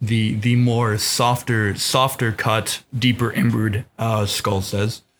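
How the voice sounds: Fairly even intonation in a natural reading voice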